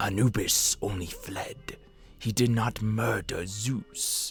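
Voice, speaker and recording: A man's put-on character voice at medium pitch and a very slow pace, with music in the background. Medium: read story. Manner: refers to himself in third person.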